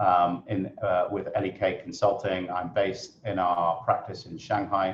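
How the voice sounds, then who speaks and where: With a British accent, a man speaks at a moderate pace in a somewhat breathy voice. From UK. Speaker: consultant and webinar moderator. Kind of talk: webinar presentation. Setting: video webinar from office. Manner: hesitant, many fillers.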